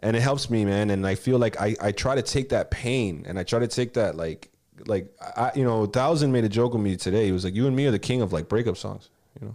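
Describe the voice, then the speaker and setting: Here a man with a Miami accent talks at medium pitch. His pace is very fast, with ordinary pitch variation. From Miami, Florida (Kendall), Cuban-American family. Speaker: rapper. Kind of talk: casual chat.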